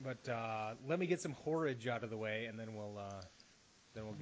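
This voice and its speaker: An ordinary speaking voice from a man with an American accent, fairly low in pitch, fairly quick in pace, with ordinary pitch variation. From US Midwest. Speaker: podcast host. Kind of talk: casual chat.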